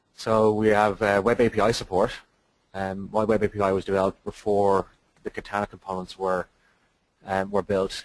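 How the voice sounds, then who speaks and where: A man with an Irish accent, fairly low in pitch, monotone and flat in intonation. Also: dry, close sound with no echo. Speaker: software developer. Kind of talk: webinar presentation. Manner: hesitant, many fillers.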